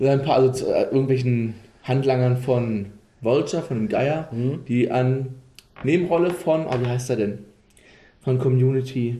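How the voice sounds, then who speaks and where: A man's medium-pitched, dark, mellow, somewhat breathy voice at a fairly slow pace, with ordinary pitch variation, long, frequent pauses and audible room echo. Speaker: podcast host. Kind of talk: casual chat.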